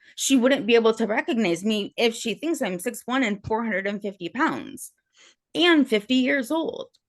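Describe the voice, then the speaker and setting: This is a plain, everyday voice with lively intonation. The background is quiet. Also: woman. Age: 30s. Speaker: respondent in court hearing. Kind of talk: testimony.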